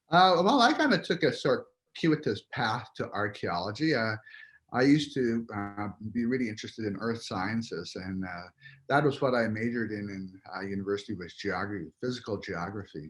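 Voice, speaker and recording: Against a quiet background, a man at a medium pitch talks at a moderate pace with lively intonation. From Piikani Nation, Blackfoot, southern Alberta, Canada. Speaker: anthropology professor. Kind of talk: interview, casual chat. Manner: halting, many fillers.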